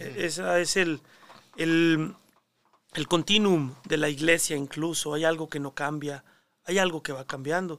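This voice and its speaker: Fairly slow and with long, frequent pauses, a man speaks at a fairly high pitch with fairly even intonation. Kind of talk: casual interview.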